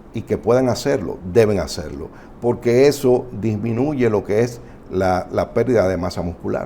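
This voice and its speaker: This man has a plain, everyday voice. His pitch is medium, with ordinary variation. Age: 60s. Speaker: family doctor. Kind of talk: health talk show interview.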